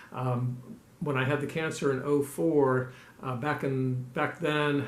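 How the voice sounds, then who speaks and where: Against noticeable background noise and audible room echo, a man with a fairly high pitch speaks at a fairly slow pace with fairly even intonation. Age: 60s. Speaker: ultramarathon runner and vlogger. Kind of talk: personal video update. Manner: halting with many fillers.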